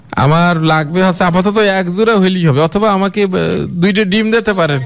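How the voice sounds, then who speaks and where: Light background noise accompanies a man speaking at a high pitch. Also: ordinary pitch variation. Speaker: radio host doing a prank call. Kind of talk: radio prank call, casual conversation. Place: studio.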